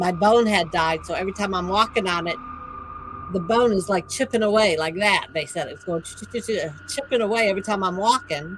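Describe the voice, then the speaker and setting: A woman at a medium pitch and fairly quick pace, with ordinary pitch variation, big swings in loudness, and noticeable background noise. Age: old. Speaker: YouTuber sharing life stories and auctions. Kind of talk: livestream storytelling and chat with viewers.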